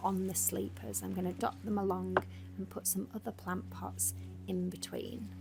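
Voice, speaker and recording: Soft-spoken and calm, a woman speaks in a somewhat breathy voice with a very deep, low pitch and monotone, flat intonation. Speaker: lifestyle vlogger. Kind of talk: voiceover narration. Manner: calm, soft-spoken.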